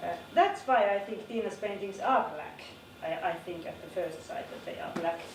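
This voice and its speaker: Audible room echo fills the space. A woman's voice comes through it. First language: not English. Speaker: art teacher. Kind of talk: lecture. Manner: halting.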